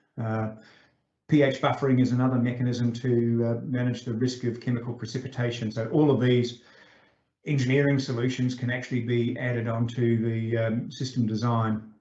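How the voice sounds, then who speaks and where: A man speaks at a medium pitch, somewhat breathy. Audible room echo surrounds his voice. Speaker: invited lecturer, groundwater engineer. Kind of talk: online conference lecture. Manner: many filler sounds, self-described as somewhat fast.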